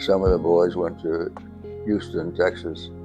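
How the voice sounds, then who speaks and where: Over music in the background, a man with a very deep, low voice and an American accent talks at a fairly slow pace. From upstate New York. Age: 80s+. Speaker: war veteran, former fighter pilot. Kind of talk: interview answer.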